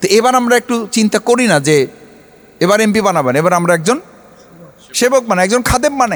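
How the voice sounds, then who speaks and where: Noticeable background noise fills the clip. A man speaks at a high pitch, his loudness very even. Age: 40s. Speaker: politician. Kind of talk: public speech.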